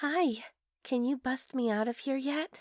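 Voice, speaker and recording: Putting on a character voice, a woman speaks at a high pitch and a fairly slow pace, in a very clean recording with a silent background and a dry, close sound with no echo. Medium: audio drama. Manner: flat, subdued.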